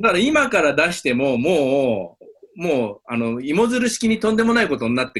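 With hardly any pauses, a man talks at a moderate pace, his fairly high pitch making very wide swings. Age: 40s. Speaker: Japan-Taiwan exchange advisor. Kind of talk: interview.

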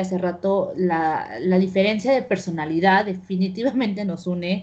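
Somewhat breathy, a woman speaks at a moderate pace with a medium-pitched voice. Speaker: podcast host. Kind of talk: casual chat. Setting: remote call.

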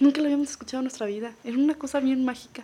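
A woman speaks with a Mexican accent. Her pitch is high. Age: 30s. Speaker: podcast guest. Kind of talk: casual chat.

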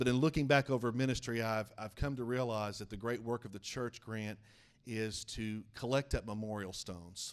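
At a moderate pace, a man with a warm tone and medium pitch speaks with fairly even intonation. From eastern Oklahoma, small town. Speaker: denominational superintendent and preacher. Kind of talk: evangelical Pentecostal sermon, preacher in full flow. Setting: church with congregation. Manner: fervent rising-and-falling pulpit cadence, calling for amens; brisk, warm, conversational asides to the congregation.

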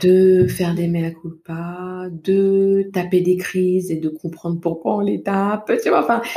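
Soft-spoken and very slow, a woman with a medium pitch and a dark, mellow tone talks with fairly even intonation and hardly any pauses. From Paris region, France (Val-de-Marne). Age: 30s. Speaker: parenting coach. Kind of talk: interview.

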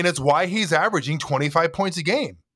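A man with a high pitch for a man, an animated tone and a bright, sharp tone, on a very clean recording with a silent background. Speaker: podcast co-host. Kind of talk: casual banter podcast chat. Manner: jokey, animated.

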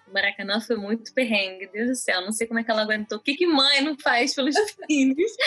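Noticeable background noise sits behind this fairly quick speaker. Loudness stays very even and pitch varies in an ordinary way. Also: woman, fairly high pitch for a woman. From Brazil (born in Israel, moved at about 5-6). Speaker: podcast co-host. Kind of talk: casual chat.

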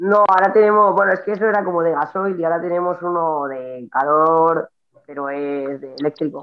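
At a moderate pace, a woman talks in a normal speaking voice that is fairly low, with ordinary pitch variation. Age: 30s. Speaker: CrossFit athlete. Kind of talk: casual chat.

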